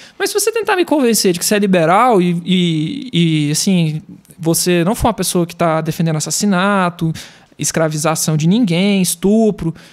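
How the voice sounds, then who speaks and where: This man's voice is pitched high. It varies in pitch in an ordinary way. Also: moderate pace. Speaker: graphic designer and digital artist. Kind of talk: podcast conversation. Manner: halting.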